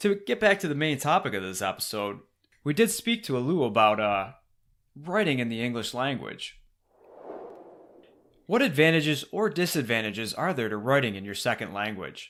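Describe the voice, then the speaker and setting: A man speaks at a moderate pace with a medium pitch. His pitch swings very widely, and he takes long, frequent pauses. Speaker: podcast host. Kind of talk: podcast talk.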